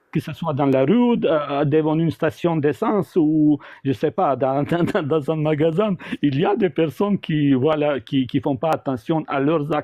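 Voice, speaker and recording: With a fairly high pitch, a man talks at a fairly slow pace. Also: ordinary pitch variation. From former Yugoslavia. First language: South Slavic language (speaking French). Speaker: debate participant. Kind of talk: live debate. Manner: halting, many repetitions. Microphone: audio cutting out, bumping mic.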